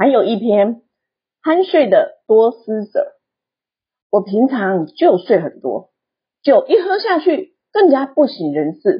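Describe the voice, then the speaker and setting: A woman's high voice with very wide pitch swings, a very slow pace and long, frequent pauses. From southern Taiwan. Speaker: book podcast host. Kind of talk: book review with read-aloud excerpts.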